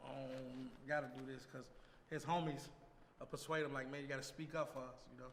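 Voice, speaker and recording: The man talks at a fairly quick pace in a monotone, flat intonation. There is audible room echo. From Chicago, west side. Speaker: rapper. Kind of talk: casual interview.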